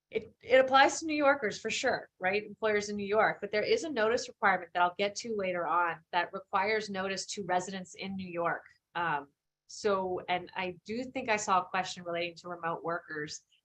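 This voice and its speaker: A woman with an American accent talks at a fairly quick pace in a medium pitch, with ordinary pitch variation. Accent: Philadelphia accent, may come out. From Philadelphia, US. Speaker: employment lawyer, guest lecturer. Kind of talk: guest lecture. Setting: live-streamed online lecture. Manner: casual, many fillers and restarts.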